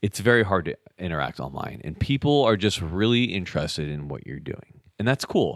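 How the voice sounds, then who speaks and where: With an American accent, a man talks at a fairly quick pace in a fairly low voice, showing vocal fry and very wide pitch swings. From Southern California (Orange County). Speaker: military special operations airman and video creator. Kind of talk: casual interview conversation. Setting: in person with host.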